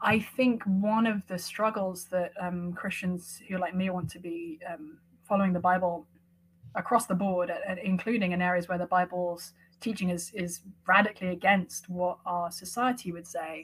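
A woman's somewhat breathy, medium-pitched voice at a moderate pace, with fairly even intonation. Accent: American. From London, England. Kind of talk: interview conversation. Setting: video call.

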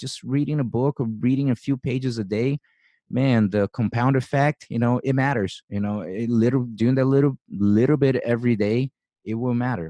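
Over a quiet background, a man with a Brazilian accent talks at a moderate pace and medium pitch in a dark, mellow tone. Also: dry, close sound with no echo. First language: Portuguese. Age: 40s. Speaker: podcast host and jiu-jitsu coach. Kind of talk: interview.

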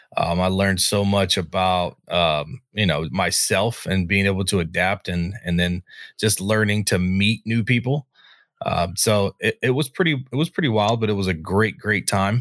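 An ordinary speaking voice from a man with an American accent, fairly low in pitch, at a moderate pace, with very even loudness and ordinary pitch variation, on a very clean recording with a silent background. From North Carolina. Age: 20s. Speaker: army veteran, podcaster. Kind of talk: casual chat.

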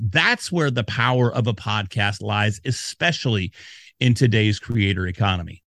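A man's animated tone in a very clean recording with a silent background and a dry, close sound with no echo. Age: 40s. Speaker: podcast consultant. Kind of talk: interview.

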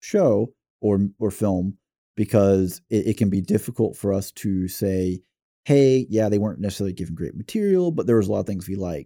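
Recorded dry and close with no echo, a man with a fairly low pitch and an American accent talks at a fairly quick pace with ordinary pitch variation. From US South. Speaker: podcast host. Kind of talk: casual chat. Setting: studio.

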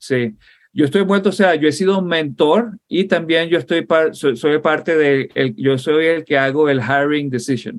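Speaking at a fairly slow pace, a man with an ordinary speaking voice uses a fairly high pitch, ordinary pitch variation and very even loudness. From Venezuela (Puerto La Cruz, Barcelona). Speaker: software engineer and Marine veteran. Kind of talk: interview conversation.

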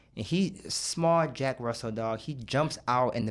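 Here is a man with an ordinary speaking voice, medium in pitch and lively in intonation. The recording is very clean, with a silent background. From Michigan, Grand Rapids. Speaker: director of a recovery program. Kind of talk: casual chat.

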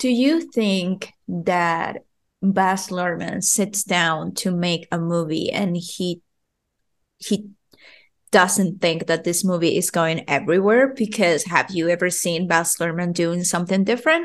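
With a Spanish accent and a fairly low pitch, a woman speaks at a fairly slow pace against a quiet background. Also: fairly even intonation. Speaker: podcast host. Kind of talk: casual chat.

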